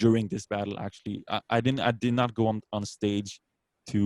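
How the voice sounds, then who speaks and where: With a slight French accent, a man speaks at a moderate pace in a fairly low pitch, his intonation fairly even and the sound dry and close with no echo. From France, Brittany. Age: 30s. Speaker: beatboxer. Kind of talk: casual interview.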